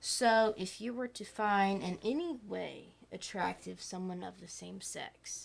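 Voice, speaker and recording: Recorded very cleanly against a silent background, a soft-spoken woman talks at a fairly slow pace with hardly any pauses and big swings in loudness. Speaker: podcast co-host. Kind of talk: casual chat.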